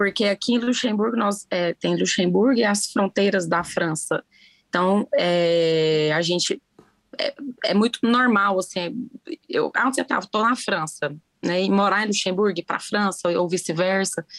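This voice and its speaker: Through a dry, close sound with no echo, a woman speaks at a fairly slow pace and medium pitch with ordinary pitch variation. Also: very even loudness. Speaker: podcast guest. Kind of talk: casual chat. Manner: talkative, animated.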